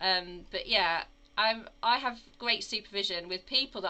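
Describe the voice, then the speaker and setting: A woman with a slight Midlands accent, at a fairly slow pace. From English Midlands. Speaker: acute oncology nurse consultant. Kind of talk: casual interview conversation.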